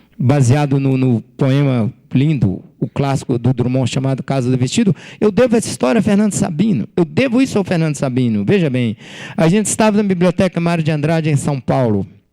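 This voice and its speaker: Over noticeable background noise, a man talks at a fairly quick pace and a fairly high pitch, his pitch swinging very widely while his loudness stays very even. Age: 60s. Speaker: writer and former journalist. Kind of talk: author talk to students.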